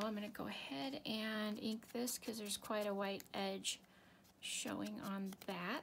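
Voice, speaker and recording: Soft-spoken, the speaker takes a fairly slow pace. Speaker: papercraft tutorial maker. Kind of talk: crafting tutorial. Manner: thinking out loud, trailing off.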